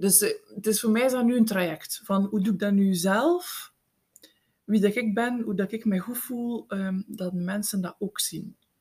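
A woman speaks at a fairly slow pace in a medium pitch, her voice somewhat breathy, with ordinary pitch variation. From Belgium, East Flanders (Eeklo, Meetjesland). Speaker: podcast co-host, writing coach. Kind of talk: casual chat.

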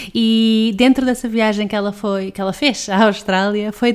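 Speaking with a European Portuguese accent, a woman keeps a fairly slow pace. Her intonation stays fairly even. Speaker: podcast host. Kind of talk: podcast intro and outro. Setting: remote call from home.

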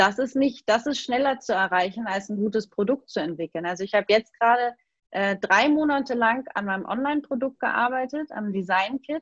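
Here is a woman with an unremarkable speaking voice, fairly high in pitch. She talks at a moderate pace with lively intonation, in a dry, close sound with no echo. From Hamburg, northern Germany. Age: 30s. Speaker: design coach and social media entrepreneur. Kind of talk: casual interview. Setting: video call.

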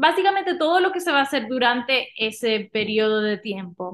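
At a fairly slow pace, a woman speaks in a fairly high voice. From Dominican Republic. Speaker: outdoor excursion organizer. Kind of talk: casual interview. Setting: in person in studio.

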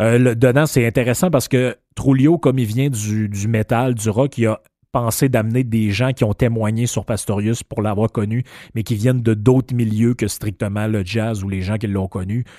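A man with a Quebec accent, medium-pitched and dark, mellow in tone, at a moderate pace with fairly even intonation, in a dry, close sound with no echo on a very clean recording with a silent background. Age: 50s. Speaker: podcast host. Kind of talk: casual monologue. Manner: halting.

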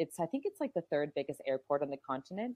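Her voice fairly low, a woman speaks with very wide pitch swings. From New Brunswick, Canada. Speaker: marketing professional, expat.

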